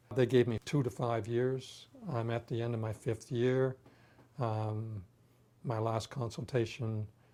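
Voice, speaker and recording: Using a dark, mellow tone at a medium pitch, a man speaks at a fairly slow pace with fairly even intonation and long, frequent pauses. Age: 60s. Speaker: patient with terminal illness. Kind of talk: testimony. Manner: halting.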